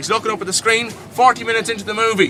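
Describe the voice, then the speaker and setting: A man with a Dublin accent talks at a very fast pace in a raised, projected voice over noticeable background noise. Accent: Irish (Dublin). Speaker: tour guide. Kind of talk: live guided tour storytelling. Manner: comedic, animated.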